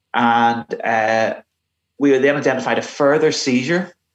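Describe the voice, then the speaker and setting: A man with a Belfast accent. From Northern Ireland, Belfast. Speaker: retired police investigator. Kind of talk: interview. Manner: halting.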